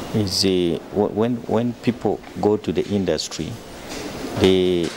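A man's very deep, low-pitched voice with fairly even intonation and noticeable background noise. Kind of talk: interview answer. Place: workshop. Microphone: handheld.

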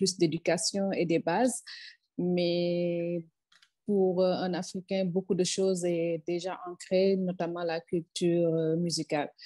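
A woman with a fairly low pitch and a dark, mellow tone speaks at a very slow pace in monotone, flat intonation, with a quiet background and a dry sound with no echo. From Senegal. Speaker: music industry expert; panelist. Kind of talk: panel discussion. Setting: video call. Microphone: earbuds.

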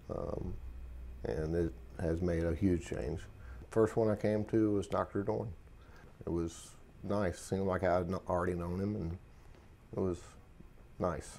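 With a very deep, low pitch and a dark, mellow tone, a man speaks with long, frequent pauses over light background noise. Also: ordinary pitch variation, fairly slow pace. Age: 30s. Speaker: military veteran, patient. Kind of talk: testimony. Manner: halting, with many fillers. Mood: calm, reflective, slightly subdued.

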